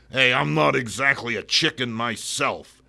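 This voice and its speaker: Growling in a gruff, gravelly put-on character voice, a man swings very widely around a medium pitch. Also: moderate pace. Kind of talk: comic impression. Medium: read story. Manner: growling, gruff.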